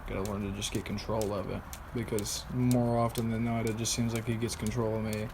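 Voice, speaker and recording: A man's fairly low voice at a fairly quick pace, with audible room echo. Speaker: vlogger. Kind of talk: personal video diary.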